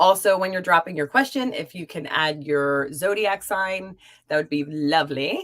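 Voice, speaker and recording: A woman's fairly low voice with lively intonation at a moderate pace. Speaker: tarot card reader. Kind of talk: livestream card readings chat. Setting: live stream. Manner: chatty, energetic.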